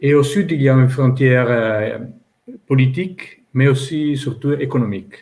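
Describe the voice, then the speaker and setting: A somewhat breathy man with an Italian accent speaks at a fairly slow pace, with ordinary pitch variation and audible room echo. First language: Italian (speaking French). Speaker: publisher. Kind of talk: panel discussion. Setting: online panel event. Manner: halting, many hesitations.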